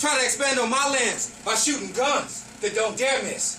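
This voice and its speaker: An extremely high-pitched man's raised, projected voice at a moderate pace, with audible room echo and music in the background. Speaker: poetry performer. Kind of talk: spoken word poetry performance. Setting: stage with audience, no microphone. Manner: loud. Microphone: no microphone, room echo.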